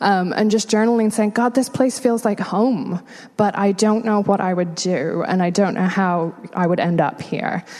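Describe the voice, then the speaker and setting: A woman's medium-pitched voice with an American accent, moderate pace, very even loudness and ordinary pitch variation. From England. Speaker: homelessness nonprofit worker. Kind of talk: interview testimony in church.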